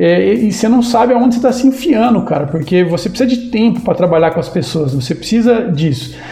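A man speaks at a fairly quick pace in a high voice with lively intonation and hardly any pauses. Noticeable noise sits in the background. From interior of São Paulo state, Brazil. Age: 50s. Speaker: startup founder. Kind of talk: podcast interview. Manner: casual, animated.

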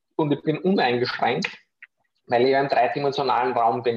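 A man with an Austrian accent talks at a moderate pace. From Austria, Vienna area. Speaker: professional freediver. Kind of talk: interview.

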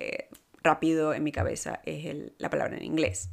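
A woman's very deep, low voice at a moderate pace, on a very clean recording with a silent background. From Venezuela. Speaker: podcast host and life coach. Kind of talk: casual monologue. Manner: halting, many fillers and repetitions.

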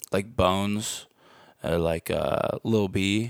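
A man with an American accent speaks in an ordinary speaking voice, fairly low in pitch with ordinary pitch variation, recorded very cleanly against a silent background with a dry, close sound and no echo. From Missouri, US Midwest. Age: 20s. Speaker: rapper. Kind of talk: casual chat.

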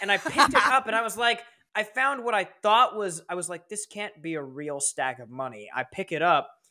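A man uses a raised, projected voice with a high pitch and a bright, sharp tone. He talks fairly quickly, with very wide pitch swings and big swings in loudness. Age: 20s. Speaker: streamer and YouTuber. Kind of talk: casual chat.

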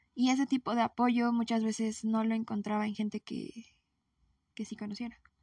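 A woman speaks at a moderate pace in a fairly high, somewhat breathy voice with a dark, mellow tone. Her intonation is monotone and flat, and the sound is dry and close with no echo. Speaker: podcast host. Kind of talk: solo monologue. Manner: spontaneous, hesitant.

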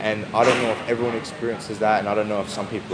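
Speaking very fast, a man with an Australian accent has a fairly low pitch. Audible room echo and noticeable background noise surround him. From South Australia, Adelaide. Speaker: jiu jitsu athlete and coach. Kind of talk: interview. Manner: casual.

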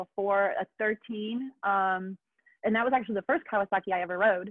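Delivered with fairly even intonation, this is a plain, everyday voice. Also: woman. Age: 30s. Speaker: motorcycle rider and brand ambassador. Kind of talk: casual chat. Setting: remote call.

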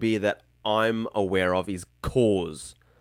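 A man speaks very slowly in a medium pitch with a strong Australian accent. The recording is very clean, with a silent background. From Tasmania, Australia. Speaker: YouTuber. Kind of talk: casual chat.

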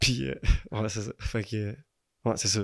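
A male voice, the recording very clean and the background silent. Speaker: larp player. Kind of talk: casual chat. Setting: at his home.

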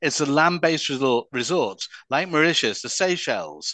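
A man with an unremarkable speaking voice talks fairly quickly, his fairly high pitch moving with lively intonation. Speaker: cruise company executive. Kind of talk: interview, sales pitch.

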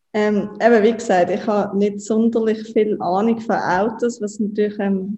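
A woman speaks at a moderate pace in a medium voice with flat, monotone intonation while music plays in the background. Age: 20s. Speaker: startup co-founder and marketing chief. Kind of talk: interview. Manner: hesitant with frequent fillers.

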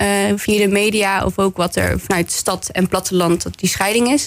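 At a fairly slow pace and medium pitch, a woman speaks with fairly even intonation in a plain, everyday voice. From West Brabant, Netherlands (Bergen op Zoom). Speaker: municipal councillor. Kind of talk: radio interview. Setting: radio studio.

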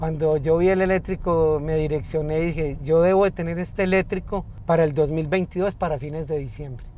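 A man at a fairly high pitch, fairly even intonation, moderate pace and hardly any pauses. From Colombia, north of Valle del Cauca. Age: 50s. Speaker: taxi driver. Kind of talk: interview. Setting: in a car. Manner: halting, repeats words.

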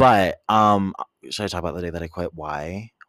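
In an American accent, a man with an unremarkable speaking voice and fairly low pitch talks at a moderate pace, recorded with a dry, close sound with no echo on a very clean recording with a silent background. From San Diego, California. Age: 20s. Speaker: podcast co-host. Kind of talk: casual chat.

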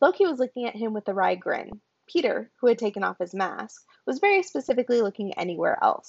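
In a quiet background, a passage is read aloud in a natural voice.

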